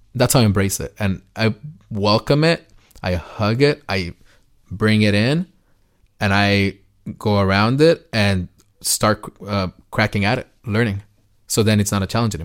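Recorded very cleanly with a silent background, a man with a fairly low pitch and ordinary pitch variation speaks at a moderate pace with long, frequent pauses. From Jalisco, Mexico; moved to US at nine. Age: 30s. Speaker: music media entrepreneur. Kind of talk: interview. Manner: animated.

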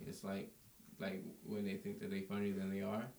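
The speech runs very fast with lively intonation. Background noise is noticeable. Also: man. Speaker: comedian. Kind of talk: casual banter.

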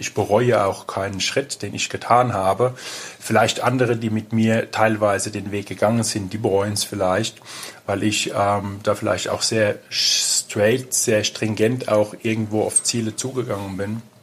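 A man speaks in a monotone, flat intonation at a moderate pace and fairly low pitch, with noticeable background noise. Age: 50s. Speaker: personal trainer and energy consultant. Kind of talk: interview. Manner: halting, many fillers.

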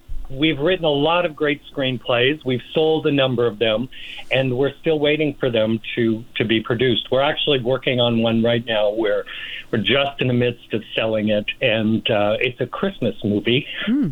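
With an American accent, a man of medium pitch speaks in a plain, everyday voice at a moderate pace, with ordinary pitch variation and very even loudness. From US Northeast (Rochester, New York). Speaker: photographer and screenwriter. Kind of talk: interview.

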